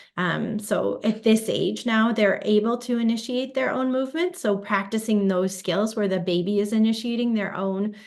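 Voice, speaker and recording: A woman speaks at a medium pitch. She has a Chicago accent. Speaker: physical therapy researcher. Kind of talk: webinar interview. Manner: hesitant with fillers.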